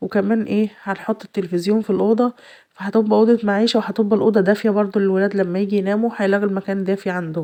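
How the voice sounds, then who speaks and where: Against a quiet background, a woman speaks in a rural Egyptian accent at a fairly quick pace. Her voice has a medium pitch, a dark, mellow tone and flat, monotone intonation. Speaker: home vlogger, mother. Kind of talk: casual vlog narration. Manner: halting with fillers.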